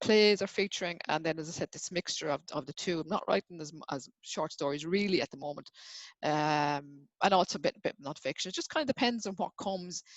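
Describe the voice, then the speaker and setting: Someone with an Irish accent speaks at a fairly quick pace with ordinary pitch variation. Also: woman, fairly low pitch for a woman. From Ireland. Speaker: writer and poet. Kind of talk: interview. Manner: fast; halting.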